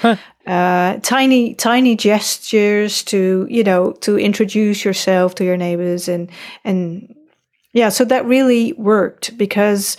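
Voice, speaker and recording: A woman speaks with a Dutch accent at a fairly slow pace. Her pitch is medium with ordinary variation. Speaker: podcaster, parent. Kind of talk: casual chat.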